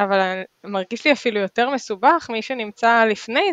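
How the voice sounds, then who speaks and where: In a dry, close recording with no echo, a woman with an unremarkable speaking voice talks at a fairly high pitch and fairly slow pace with ordinary pitch variation. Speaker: podcast host. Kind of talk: interview conversation.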